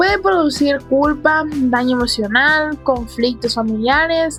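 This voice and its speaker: A high-pitched woman's voice at a very slow pace, with ordinary pitch variation and music in the background. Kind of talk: casual solo podcast talk. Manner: casual, frequent swearing.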